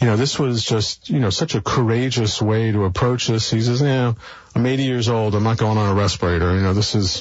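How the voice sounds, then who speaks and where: In an unremarkable speaking voice, a man with an American accent talks at a fairly quick pace and medium pitch, with very even loudness and fairly even intonation. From New York City (Brooklyn). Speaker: philanthropist. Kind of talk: interview conversation.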